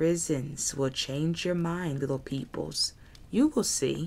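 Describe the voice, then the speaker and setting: In a put-on character voice, a soft-spoken, hissing speaker at a middle pitch talks at a fairly slow pace with a menacing tone. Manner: soft menacing hiss.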